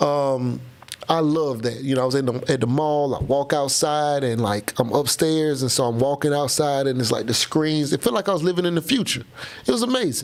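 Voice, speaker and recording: A man with a fairly high voice talks at a fairly quick pace in an animated tone, with ordinary pitch variation. His loudness stays very even, and there is noticeable background noise. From Florida. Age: 30s. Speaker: live streamer and trucking business creator. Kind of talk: casual live stream chat.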